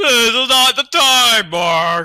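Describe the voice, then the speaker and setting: A man in a put-on character voice growls and projects loudly at an extremely high pitch with very wide pitch swings. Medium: read story. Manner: growling, cartoonish.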